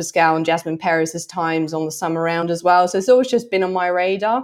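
A woman's fairly low voice with a Norwegian accent, against a quiet background. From Norway. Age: 30s. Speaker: trail and fell runner. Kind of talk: interview.

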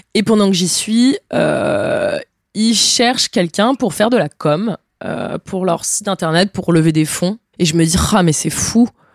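A woman with an ordinary speaking voice talks at a moderate pace. Her pitch is medium, with ordinary variation. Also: dry, close sound with no echo. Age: 20s. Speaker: traveler. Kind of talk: interview. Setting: at the host's home.

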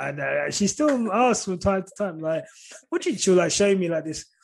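A fairly slow pace with a southern English accent. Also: man, big swings in loudness. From St Albans, Hertfordshire, England. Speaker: content creator. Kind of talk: casual chat.

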